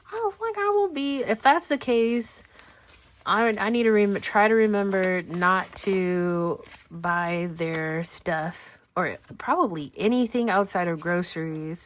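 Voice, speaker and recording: Very slowly, a woman speaks at a medium pitch with lively intonation. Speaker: budgeting YouTuber. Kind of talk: casual talk to camera.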